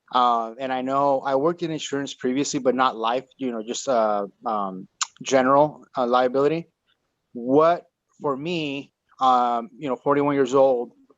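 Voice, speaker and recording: A man with a plain, everyday voice, medium in pitch, at a moderate pace with fairly even intonation. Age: 40s. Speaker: entrepreneur, audience member. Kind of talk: question in live Q&A. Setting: Zoom call.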